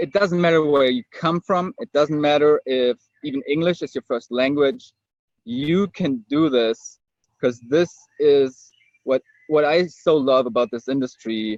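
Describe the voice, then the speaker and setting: At a fairly slow pace, a man with a German accent speaks at a fairly high pitch with ordinary pitch variation. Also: dry, close sound with no echo. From Germany. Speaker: network marketer. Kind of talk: webinar testimony. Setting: online webinar. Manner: searching for words.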